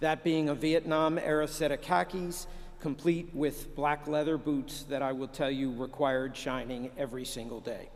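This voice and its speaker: An American accent marks this man's unremarkable speaking voice. His pitch is fairly high, with ordinary pitch variation. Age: 60s. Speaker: senior army officer and lawyer. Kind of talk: commencement speech. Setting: ceremony with live audience. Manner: formal.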